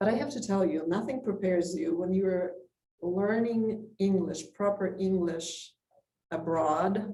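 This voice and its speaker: In a room with audible echo, a somewhat breathy woman speaks fairly slowly at a medium pitch, varying it in an ordinary way. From Poland. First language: Polish. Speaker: community society president. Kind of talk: talk to a club with Q&A. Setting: club meeting with audience.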